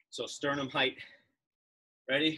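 A man speaks with a bright, sharp tone. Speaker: tennis fitness coach. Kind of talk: live online workout instruction. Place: garden. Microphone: camera far.

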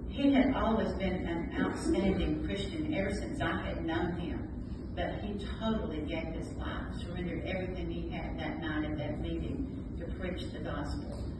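Over loud background noise and audible room echo, a woman talks at a moderate pace. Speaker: pastor's widow. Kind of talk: testimony. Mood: warm, reflective. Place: hall.

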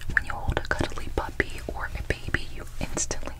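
The voice belongs to a woman. Everything she says is whispered. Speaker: ASMR creator. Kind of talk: ASMR roleplay personal attention. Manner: soft, teasing, bedtime personal attention. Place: home room. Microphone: phone near.

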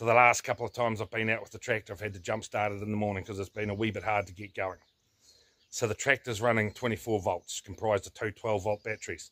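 This man talks at a very fast pace with a bright, sharp tone and a fairly low pitch. His intonation stays fairly even over a quiet background. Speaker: tractor owner vlogger. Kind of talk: casual vlog chat. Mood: reflective, folksy humour. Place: open country. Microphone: phone near.

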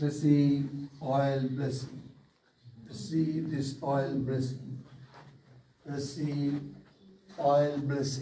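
A man speaks very slowly with long, frequent pauses, at a fairly high pitch in a flat monotone. His voice is somewhat breathy and dark and mellow in tone, with audible room echo and light background noise. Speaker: pastor. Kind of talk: fervent prayer. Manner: intense; repetitive. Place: hall. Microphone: phone near.

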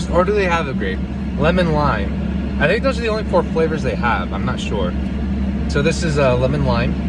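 A man at a fairly quick pace, dry with no echo, under loud background noise. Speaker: vlogger. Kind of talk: casual vlog chat, taste review. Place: car. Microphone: phone near.

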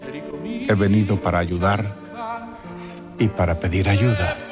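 The voice moves at a very slow pace while music plays clearly in the background. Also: man. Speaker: TV presenter. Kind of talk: TV show intro monologue. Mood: calm, intimate, earnest. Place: studio. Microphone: studio mic.

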